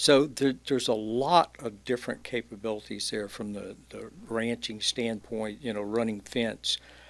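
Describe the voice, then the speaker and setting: In a very clean recording with a silent background, a man of medium pitch speaks at a moderate pace with a Louisiana accent. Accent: Louisiana Southern US. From Louisiana (Alexandria). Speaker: entrepreneur, e-bike shop owner. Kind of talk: casual chat.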